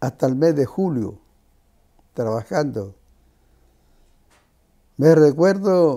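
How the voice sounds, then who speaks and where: A man's dark, mellow voice sits fairly high in pitch and moves at a very slow pace. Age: 80s+. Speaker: former shovel worker. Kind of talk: interview answer.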